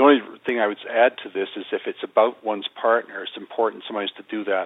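A man is talking. He speaks at a very fast pace. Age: 60s. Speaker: psychotherapist and spiritual teacher. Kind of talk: interview conversation.

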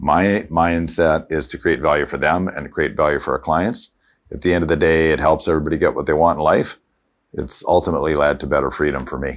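With a Canadian accent, a man talks fairly quickly in a very deep, low voice marked by vocal fry. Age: 60s. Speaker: financial advisor. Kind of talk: interview testimony.

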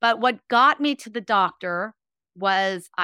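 In a Californian accent, a woman speaks with a bright, sharp tone at medium pitch and ordinary pitch variation. The sound is dry and close, with no echo. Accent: General American (California). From Los Angeles, California. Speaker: former ballerina and motivational speaker. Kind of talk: interview. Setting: remote call.

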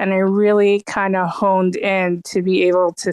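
In a dry, close sound with no echo and a very clean recording with a silent background, a woman speaks very slowly at a medium pitch with monotone, flat intonation. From Toronto, Canada. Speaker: interior designer and artist. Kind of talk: casual chat. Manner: halting.

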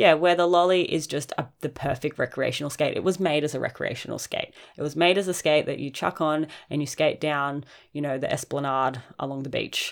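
Speaking at a fairly quick pace, a woman with an Australian accent has a very deep, low pitch and fairly even intonation. The recording is very clean with a silent background. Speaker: podcast host and roller skate shop owner. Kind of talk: casual chat.

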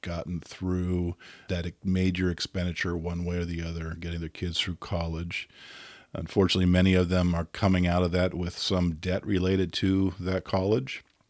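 A man speaks in a very deep, low voice with monotone, flat intonation. The recording is very clean, with a silent background. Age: 50s. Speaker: financial advisor and attorney. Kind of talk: casual interview chat. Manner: halting, many fillers.

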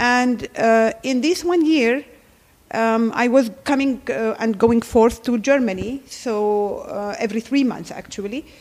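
A woman's high-pitched voice in an Arabic accent, very slow in pace, with ordinary pitch variation and a very clean recording over a silent background. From Jordan, Palestinian family. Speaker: gynecologist. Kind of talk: interview.

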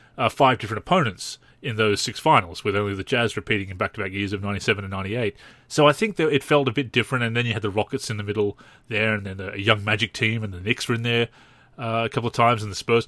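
A man with an Australian accent talks very fast at a fairly low pitch, with ordinary pitch variation. The sound is dry and close with no echo, on a very clean recording with a silent background. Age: 30s. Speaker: basketball video game podcast host. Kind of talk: solo podcast commentary. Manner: halting.

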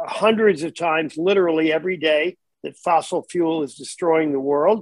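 A man's normal speaking voice, fairly high in pitch, at a moderate pace with fairly even intonation, in a dry, close sound with no echo. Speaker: talk show co-host. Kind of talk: interview.

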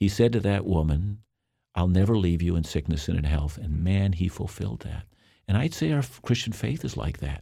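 A man speaks at a moderate pace in a very deep, low voice with a dark, mellow, somewhat breathy tone and lively intonation. The recording is very clean, with a silent background. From Canada. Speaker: Bible teacher. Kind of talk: interview.

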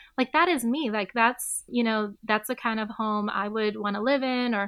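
A woman speaks at a fairly high pitch and a moderate pace with fairly even intonation. Hers is a normal speaking voice. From Detroit area, Michigan (Southfield). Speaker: real estate agent, former civil rights attorney. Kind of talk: interview.

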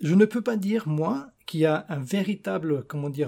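A man talks at a fairly slow pace in a dark, mellow tone, his intonation lively. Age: 50s. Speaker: barefoot runner. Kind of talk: interview. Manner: halting.

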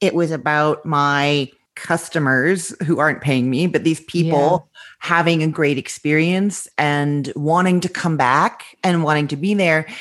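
Against a quiet background, a woman with a Canadian accent talks at a fairly slow pace in a very deep, low pitch, her intonation fairly even and her loudness very even. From Canada, Winnipeg, Manitoba. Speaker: food blogger and businesswoman. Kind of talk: interview. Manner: open, breezy.

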